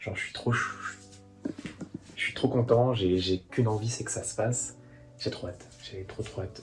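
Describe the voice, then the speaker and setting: Noticeable noise in the background and a man's moderately paced speech. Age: 20s. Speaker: aspiring journalist and YouTuber. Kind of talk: vlog diary. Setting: room while travelling.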